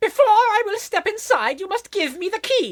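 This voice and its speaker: Put on as a character, this squeaky voice sits at an extremely high pitch and moves at a moderate pace. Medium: audio drama. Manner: formal, haughty.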